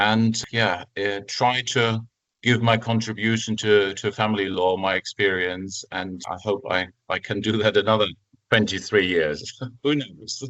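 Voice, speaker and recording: Speaking at a fairly slow pace with a German accent, a man keeps his fairly low voice in fairly even intonation. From Germany. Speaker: family lawyer, former judge. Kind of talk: podcast interview.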